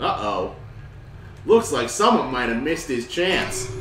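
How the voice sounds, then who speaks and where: A man does a robotic put-on character voice, fairly high in pitch with very wide pitch swings, at a moderate pace, amid clear background noise and a slight echo. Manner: creepy, taunting.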